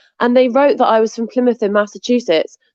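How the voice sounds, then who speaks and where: This woman speaks with an English accent. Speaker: interview guest.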